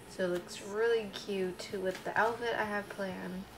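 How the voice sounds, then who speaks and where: Noticeable background noise sits under the recording. A woman speaks in fairly even intonation. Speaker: vlogger. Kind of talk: casual vlog chat. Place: kitchen. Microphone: webcam.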